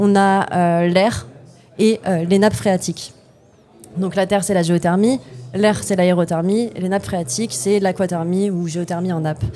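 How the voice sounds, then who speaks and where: A woman speaks at a fairly slow pace with ordinary pitch variation and long, frequent pauses. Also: medium pitch for a woman. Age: 20s. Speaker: company co-founder. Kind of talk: podcast interview. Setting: innovation day event. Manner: hesitant, many fillers.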